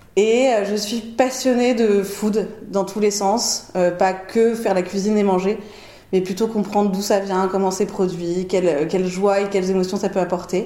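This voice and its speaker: Amid noticeable background noise and audible room echo, a woman talks at a fairly slow pace in a medium pitch with fairly even intonation. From Paris, France. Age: 30s. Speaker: chef. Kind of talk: casual chat. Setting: at home. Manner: talkative.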